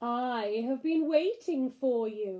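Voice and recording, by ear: A woman's high-pitched, put-on character voice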